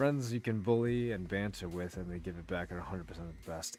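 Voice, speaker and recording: Fairly quick speech with ordinary pitch variation, music in the background. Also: man. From England. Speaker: livestreamer. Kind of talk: casual chat. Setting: livestream.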